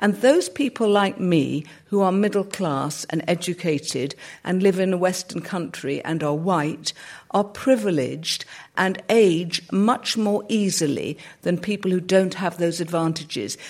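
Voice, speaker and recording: At a fairly slow pace, a woman speaks with a British accent, her medium pitch showing ordinary variation. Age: 60s. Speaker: sociologist. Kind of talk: panel discussion. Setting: stage with audience.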